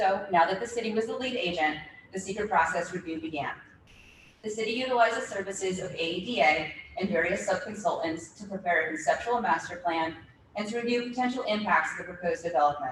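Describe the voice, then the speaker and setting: Through noticeable background noise and audible room echo, a woman talks at a very fast pace with medium pitch, ordinary pitch variation and big swings in loudness. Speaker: city official presenting at hearing. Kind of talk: formal presentation at public hearing. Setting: public meeting.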